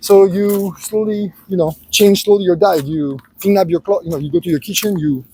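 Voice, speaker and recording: The man's voice is high in pitch, with ordinary pitch variation. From Greece. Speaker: life advice vlogger. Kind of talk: casual walking vlog monologue. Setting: outdoors at the beach. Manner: halting, many fillers.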